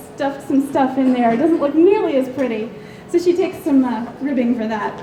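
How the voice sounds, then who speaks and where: Speaking with a Southern US accent and lively intonation, a woman is heard over noticeable background noise with audible room echo. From US South. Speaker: convention panelist. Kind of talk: lecture. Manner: hesitant, many ums.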